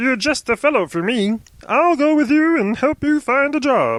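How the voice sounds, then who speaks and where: This is a put-on character voice pitched high. It moves at a moderate pace. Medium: read story.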